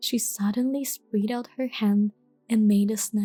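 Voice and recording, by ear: In a natural voice, someone reads aloud, keeping the intonation fairly even.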